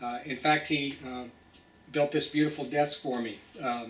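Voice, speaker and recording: Audible room echo surrounds a man with an American accent, who speaks at a medium pitch with fairly even intonation. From US South, Nashville, Tennessee. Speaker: pathologist. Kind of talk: personal talk to a professional group. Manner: hesitant, many fillers.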